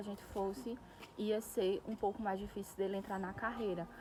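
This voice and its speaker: The speaker is a woman with a fairly high voice. She talks at a moderate pace against noticeable background noise. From Brazil, Pernambuco (Northeast). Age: 20s. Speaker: vlogger, nail technician. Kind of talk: casual vlog monologue. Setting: outdoors in a park.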